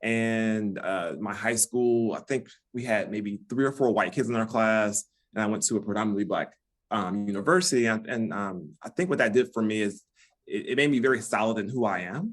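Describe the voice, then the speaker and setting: A normal speaking voice from a man with an American accent, medium in pitch, at a fairly quick pace with ordinary pitch variation. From US Midwest, Detroit. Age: 50s. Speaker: relationship expert. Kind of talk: podcast interview.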